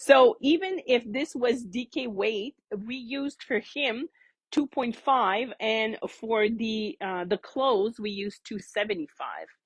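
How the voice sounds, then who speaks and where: A woman with a French Canadian accent, fairly high-pitched and fairly slow, with ordinary pitch variation in a dry, close sound with no echo. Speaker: knitting teacher. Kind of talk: casual show-and-tell chat. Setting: yarn shop classroom, before class. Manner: chatty, with many fillers and restarts.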